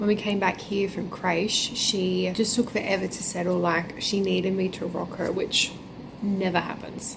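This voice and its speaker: A woman with an Australian accent, audible room echo and noticeable background noise. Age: 20s. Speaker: vlogger and pastry chef. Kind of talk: casual vlog talk to camera.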